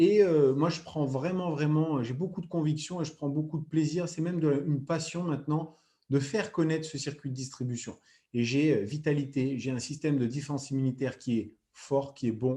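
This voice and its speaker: This man's pitch is fairly high, with ordinary variation and a moderate pace. His tone is dark, mellow and somewhat breathy against a quiet background. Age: 30s. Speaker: former athlete and product distributor. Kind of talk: sales pitch. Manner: hesitant with frequent fillers.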